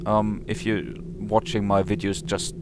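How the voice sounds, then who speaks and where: There is noticeable background noise as a man with a fairly low pitch speaks. He goes at a fairly slow pace with very wide pitch swings. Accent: non-native. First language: not English. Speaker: let's play gamer. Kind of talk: game commentary. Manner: halting, many fillers.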